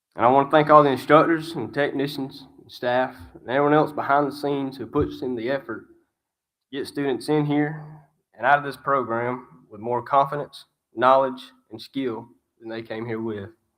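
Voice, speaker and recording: In a very clean recording with a silent background, a man with a strong Alabama accent speaks at a moderate pace and a fairly high pitch, his intonation fairly even but his loudness swinging widely. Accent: strong Alabama Southern. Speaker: graduating student. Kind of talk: graduation speech.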